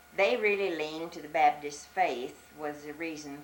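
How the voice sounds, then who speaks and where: A woman speaks at a moderate pace with an American accent and a very deep, low pitch with ordinary pitch variation. Noticeable background noise sits underneath. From US South, Arkansas Ozarks. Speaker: elderly church member. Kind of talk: oral history interview.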